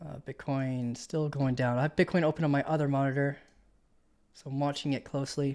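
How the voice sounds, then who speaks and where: An unremarkable speaking voice, this man has a fairly high pitch, fairly even intonation and a fairly quick pace, on a very clean recording with a silent background. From Canada. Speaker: crypto trading streamer. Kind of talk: live stream market analysis. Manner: casual, conversational.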